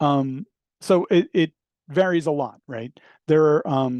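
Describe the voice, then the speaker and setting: The man's voice is fairly high in pitch, with a dark, mellow tone and lively intonation. The sound is dry and close with no echo, over a quiet background. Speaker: professor. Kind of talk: lecture. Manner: fast; halting with fillers.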